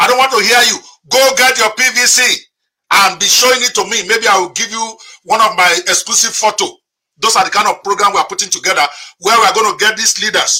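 The speaker uses a raised, projected voice and an animated tone at a fairly quick pace, with ordinary pitch variation. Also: man, high pitch for a man. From Nigeria. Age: 50s. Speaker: podcast host and moderator. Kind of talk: interview and impassioned commentary.

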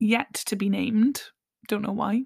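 A woman's voice comes across as somewhat breathy. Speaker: podcast host, singer and mental health practitioner. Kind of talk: solo monologue, personal reflection.

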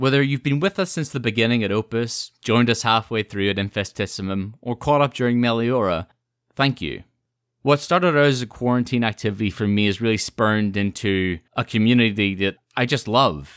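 A man with an unremarkable speaking voice talks at a fairly quick pace with ordinary pitch variation. The recording is very clean and dry, close-sounding with no echo and a silent background. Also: medium pitch for a man. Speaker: podcast host. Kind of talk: casual chat. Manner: chatty, laughs often.

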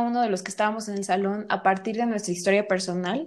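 A woman speaks with a Mexican accent and fairly even intonation. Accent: Mexican Spanish (Jalisco). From Mexico, Guadalajara. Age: 20s. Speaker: actress and visual artist. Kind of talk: interview.

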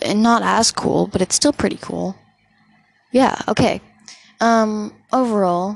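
Speaking at a fairly slow pace, a woman leaves long, frequent pauses. Her intonation is fairly even. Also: fairly high pitch for a woman. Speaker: podcast host. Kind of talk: casual solo podcast chat. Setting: home recording with dog and fans running. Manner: rambling, giggly, self-deprecating.

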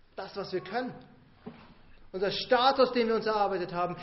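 A man talks fairly quickly at a high pitch. Audible room echo surrounds his voice. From Bavaria, rural. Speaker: pastor. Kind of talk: sermon.

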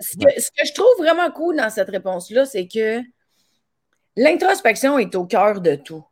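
A woman in a Quebec accent, fairly high in pitch with very wide pitch swings and big swings in loudness, at a fairly slow pace with long, frequent pauses, on a very clean recording with a silent background. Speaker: podcast host and comedian. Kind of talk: casual interview.

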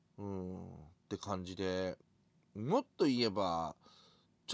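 The sound is dry and close, with no echo. It is a man who is talking. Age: 50s. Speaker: podcaster. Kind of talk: casual monologue. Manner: relaxed, halting with fillers.

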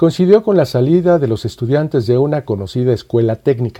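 A man speaks at a moderate pace in a medium pitch, his tone dark and mellow and his intonation lively. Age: 60s. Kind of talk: scripted narration. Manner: formal.

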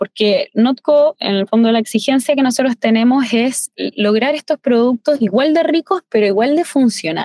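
Pitched high with a dark, mellow tone, a woman talks at a moderate pace with hardly any pauses, very even loudness and ordinary pitch variation, the sound dry and close with no echo. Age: 20s. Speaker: chef. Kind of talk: interview.

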